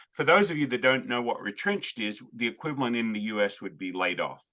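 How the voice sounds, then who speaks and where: A man speaks very fast in an Australian accent, his tone bright and sharp. His medium pitch moves in very wide swings. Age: 50s. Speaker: podcast host. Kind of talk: interview.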